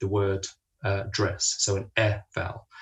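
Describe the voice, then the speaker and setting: A man talks at a moderate pace. His voice is somewhat breathy and fairly low in pitch. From London, England. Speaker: linguistics lecturer. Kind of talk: lecture.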